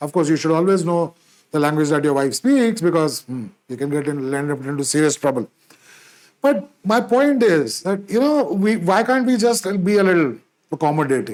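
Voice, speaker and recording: In a Punjabi accent, this speaker moves at a moderate pace with very wide pitch swings. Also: man, fairly high pitch for a man. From India, Punjabi background. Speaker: podcast host. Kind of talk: solo podcast monologue. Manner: halting, many fillers and restarts.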